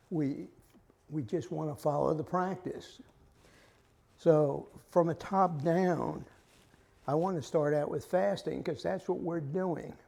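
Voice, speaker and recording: With audible room echo, a man with a fairly high pitch and a dark, mellow tone speaks very slowly, using ordinary pitch variation and long, frequent pauses. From US South. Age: 80s+. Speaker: lay Bible study leader. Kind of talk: lecture. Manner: halting.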